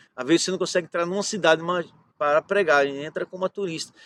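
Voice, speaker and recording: The intonation stays fairly even at a very fast pace. The sound is dry and close, with no echo. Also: man. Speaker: pastor. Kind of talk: sermon.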